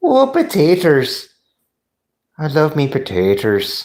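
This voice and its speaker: A man puts on a character voice with a fairly high pitch. He moves at a fairly slow pace. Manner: comic, jokey.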